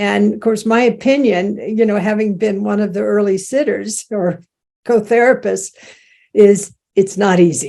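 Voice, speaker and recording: At a fairly slow pace, a woman with a dark, mellow tone speaks with fairly even intonation on a very clean recording with a silent background. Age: 80s+. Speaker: Zen teacher and end-of-life care pioneer. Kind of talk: lecture with Q&A. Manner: halting, many fillers.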